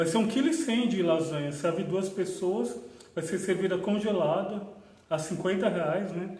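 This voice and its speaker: Audible room echo and noticeable background noise surround a man whose high voice shows ordinary pitch variation. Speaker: spiritist center host. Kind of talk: livestream announcements. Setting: Facebook livestream.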